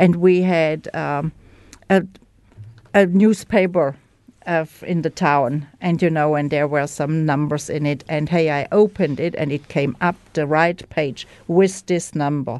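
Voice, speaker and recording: A woman with a German accent, very deep and low in pitch, at a fairly slow pace with fairly even intonation. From Germany. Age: 60s. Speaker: recovering alcoholic. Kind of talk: testimony. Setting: studio. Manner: halting.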